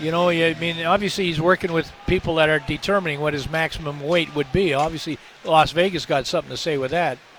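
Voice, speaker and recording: Over noticeable background noise, a man speaks very fast in a fairly high voice. His intonation stays fairly even. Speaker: colour commentator. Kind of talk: live commentary and analysis. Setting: arena broadcast.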